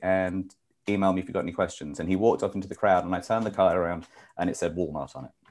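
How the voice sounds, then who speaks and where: A man with a very deep, low voice and a slight British accent speaks at a very fast pace with fairly even intonation. The recording is very clean, with a silent background. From UK. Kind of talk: interview. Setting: live show.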